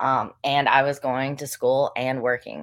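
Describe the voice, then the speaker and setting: Speaking at a fairly slow pace, a woman with an American accent has a very deep, low pitch. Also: very clean recording, silent background. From Western North Carolina, US South. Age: 20s. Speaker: professional bodybuilding competitor. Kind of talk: casual interview.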